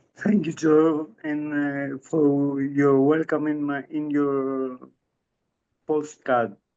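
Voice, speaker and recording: In a Greek accent, a man speaks very slowly in a monotone, flat delivery, his fairly high voice dark and mellow in tone. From Greece. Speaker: strength coach for Parkinson's patients. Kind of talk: interview. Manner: halting.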